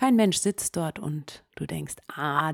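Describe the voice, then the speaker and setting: A woman's calm, soothing tone at a very slow pace, dry and close with no echo. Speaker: meditation podcast host and storyteller. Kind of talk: guided meditation. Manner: calm, slow, soothing, second-person storytelling.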